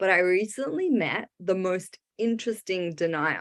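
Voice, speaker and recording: With an Australian accent, a woman speaks at a medium pitch using lively intonation. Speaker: stand-up comedian. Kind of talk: stand-up. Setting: online video show from home.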